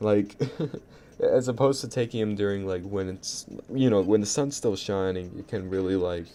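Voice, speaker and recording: A man talks at a fairly quick pace. His very deep, low voice has a dark, mellow tone. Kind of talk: casual storytelling to camera. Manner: stuttering, sputtering; rambling, profane.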